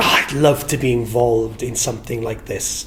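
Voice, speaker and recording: A man with a South Wales accent talks at a moderate pace, his intonation fairly even. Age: 60s. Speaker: entertainer and singer. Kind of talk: interview reminiscence. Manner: warm, halting with repetitions.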